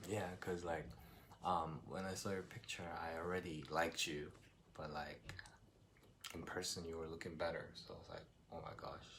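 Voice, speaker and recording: The speaker has a Korean accent and fairly even intonation, with long, frequent pauses. Audible room echo is present. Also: man, very deep, low pitch for a man, moderate pace. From South Korea. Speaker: vlogger in international couple. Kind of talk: casual chat.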